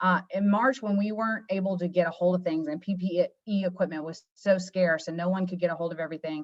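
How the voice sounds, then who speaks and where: A woman's very fast, nearly pause-free delivery with fairly even intonation. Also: medium pitch for a woman. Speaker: marketing manager presenting education products. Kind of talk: webinar presentation.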